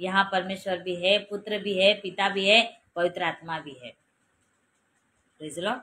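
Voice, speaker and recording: A woman with a Marathi accent speaks at a medium pitch with fairly even intonation, big swings in loudness, and long, frequent pauses. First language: Marathi (speaking Hindi). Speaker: preacher. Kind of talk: sermon.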